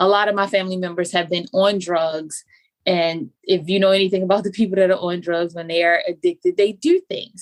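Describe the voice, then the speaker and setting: A woman with an unremarkable speaking voice talks at a medium pitch. Her pace is fairly quick and her intonation fairly even. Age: 40s. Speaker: life coach. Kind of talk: casual chat.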